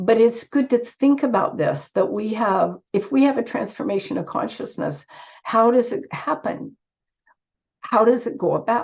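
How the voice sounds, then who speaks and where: A woman's voice with very wide pitch swings and vocal fry, at a moderate pace. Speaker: author and speaker on yoga. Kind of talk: conference talk. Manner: halting.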